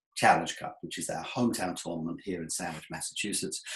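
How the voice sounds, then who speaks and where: A male speaker in an English accent. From England. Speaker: webinar presenter, sponsorship sales consultant. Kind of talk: webinar presentation. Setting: online webinar with screen share.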